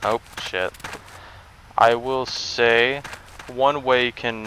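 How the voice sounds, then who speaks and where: A man speaks at a medium pitch, very slowly and in a monotone, flat way. Noticeable background noise can be heard. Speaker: gaming YouTuber. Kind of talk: gameplay commentary. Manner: loud; casual, rambling with fillers.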